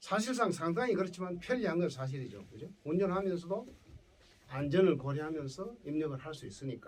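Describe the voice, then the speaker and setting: Speaking in a Gyeongsang accent, a man with a high pitch uses lively intonation and big swings in loudness, with audible room echo. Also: fairly quick pace. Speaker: professor. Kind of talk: lecture.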